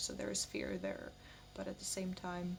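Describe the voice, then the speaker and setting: Background noise is noticeable here. The speaker is a woman. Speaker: spiritual vlogger. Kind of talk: personal vlog monologue.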